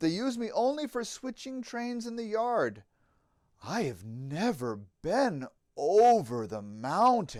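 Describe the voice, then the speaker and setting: A man's put-on character voice, high in pitch, at a fairly slow pace, in a very clean recording with a silent background. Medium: read story. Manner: kind, gentle.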